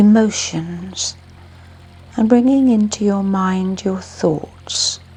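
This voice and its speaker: With music in the background, a woman speaks at a very slow pace and ordinary pitch variation. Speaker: meditation guide. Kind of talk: guided sleep meditation. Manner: slow, soft-spoken.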